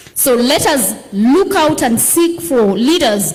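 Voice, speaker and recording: A woman's high-pitched voice with lively intonation comes through audible room echo and noticeable background noise. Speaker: politician. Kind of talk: panel discussion.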